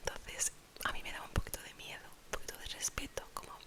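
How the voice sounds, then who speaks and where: Whispering in a relaxed tone, a woman speaks at a fairly quick pace over noticeable background noise. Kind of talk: ASMR storytime, whispered personal anecdote to camera. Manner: soft, relaxed, chatty.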